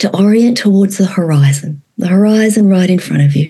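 With an Australian accent, a woman talks in a dark, mellow, somewhat breathy tone at medium pitch, her intonation lively. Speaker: trauma therapist and educator. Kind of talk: conversational interview; guided exercise.

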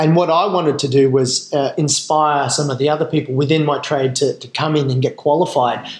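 Fairly high-pitched and somewhat breathy, a man speaks with an Australian accent at a fairly quick pace. He barely pauses, and his intonation stays fairly even. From Western Australia and Northern Territory mining towns. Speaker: Special Forces veteran, charity founder. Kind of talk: interview.

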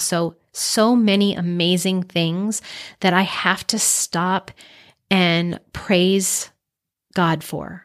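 Against a silent background on a very clean recording, a woman speaks with monotone, flat intonation. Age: 40s. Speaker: life coach and podcast host. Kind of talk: casual monologue. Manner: off the cuff, unscripted.

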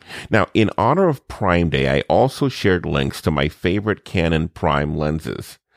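A man talks with vocal fry and lively intonation. The very clean recording has a silent background and a dry, close sound with no echo. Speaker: podcast host. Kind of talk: interview.

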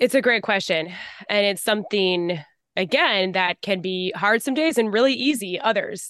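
Here is a woman with an unremarkable speaking voice and medium pitch. She talks at a moderate pace with lively intonation. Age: 30s. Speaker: blogger and podcaster. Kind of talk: casual interview chat.

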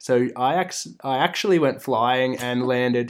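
This man has a medium pitch and an Australian accent. He speaks at a fairly slow pace with fairly even intonation, in a very clean recording with a silent background. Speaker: host's romantic partner. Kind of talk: casual chat. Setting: in-person recording, sitting side by side.

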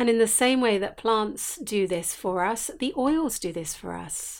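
Delivery comes at a fairly slow pace with ordinary pitch variation. The recording is very clean, with a silent background. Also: woman. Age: 50s. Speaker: essential oils teacher and podcast host. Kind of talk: solo podcast talk, reflective teaching. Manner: sing-song; gentle, warm.

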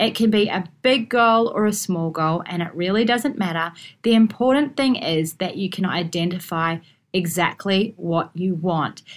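On a very clean recording with a silent background, a woman speaks in an Australian accent. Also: medium pitch for a woman, ordinary pitch variation, moderate pace. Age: 40s. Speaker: podcast host and lawyer. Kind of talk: solo podcast monologue.

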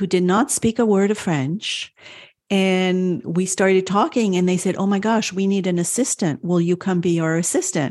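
With an unremarkable speaking voice and an American accent, a woman talks at a medium pitch and a moderate pace with ordinary pitch variation. The recording is very clean, with a silent background. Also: very even loudness. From France and the United States. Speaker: Montessori parenting consultant and doula. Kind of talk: casual interview chat.

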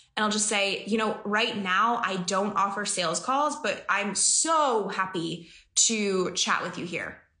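A woman's voice sits at a fairly high pitch with a bright, sharp tone. Audible room echo surrounds it. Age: 20s. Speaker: business coach and podcast host. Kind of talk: live-stream Q&A. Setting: office. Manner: animated.

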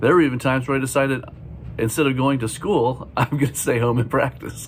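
Fairly quick speech from a man with ordinary pitch variation, amid noticeable background noise. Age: 50s. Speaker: drummer and drum educator. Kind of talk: podcast monologue. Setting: school career day.

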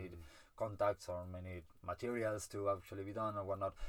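The man talks in a fairly low pitch with a monotone, flat intonation. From Argentina, Buenos Aires. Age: 30s. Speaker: illustrator and heritage project director. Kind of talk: casual podcast conversation.

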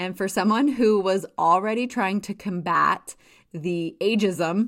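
A woman with an American accent speaks in a plain, everyday voice at a fairly slow pace, medium in pitch with ordinary pitch variation, on a very clean recording with a silent background. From Wyoming, US. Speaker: podcast host and town mayor. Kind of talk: casual monologue.

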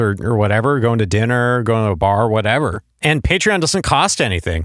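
An unremarkable speaking voice moves at a moderate pace with lively intonation. The recording is very clean and dry, close with no echo, over a silent background. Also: man. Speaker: podcast host. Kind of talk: casual interview.

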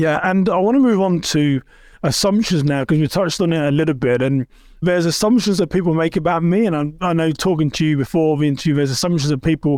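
A man with an English accent talks at a very fast pace. His voice is high in pitch, with ordinary pitch variation. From England. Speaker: podcast host. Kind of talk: interview.

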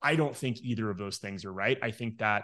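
The speaker has an American accent and ordinary pitch variation. It is a normal speaking voice. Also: man. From Texas, Midland. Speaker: entrepreneur and wealth coach. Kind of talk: casual interview chat.

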